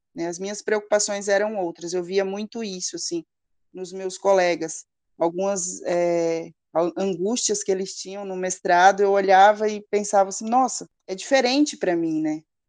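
A woman speaks in an ordinary speaking voice at medium pitch with ordinary pitch variation, a moderate pace and big swings in loudness. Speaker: psychologist and mother. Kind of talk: interview.

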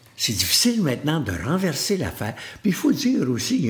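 In a Quebec accent, a somewhat breathy man speaks with very wide pitch swings. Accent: Québécois French. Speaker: motivational speaker. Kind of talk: interview conversation.

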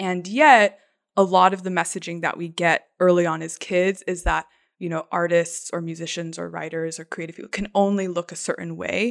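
In a very clean recording with a silent background and a dry, close sound with no echo, a woman with an unremarkable speaking voice talks at a moderate pace in a fairly low pitch, her intonation fairly even but her loudness swinging widely. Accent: American. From US Southwest, Arizona (Phoenix area). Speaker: artist and creativity coach. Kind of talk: casual interview chat.

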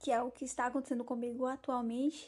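High-pitched female speech, dark and mellow in tone. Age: 20s. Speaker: podcast host, history student and primary school teacher. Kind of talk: personal monologue introducing a self-discovery podcast.

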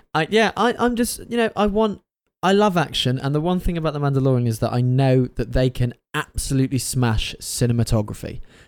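Very wide pitch swings run through this man's speech. He talks at a fairly quick pace with a fairly high pitch. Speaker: podcast co-host. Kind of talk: casual chat.

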